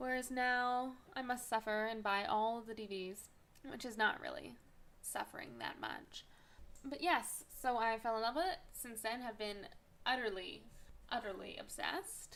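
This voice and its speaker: A woman's fairly high voice with ordinary pitch variation at a moderate pace. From Canada, Vancouver, British Columbia. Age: 20s. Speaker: podcast host. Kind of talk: casual monologue. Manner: animated.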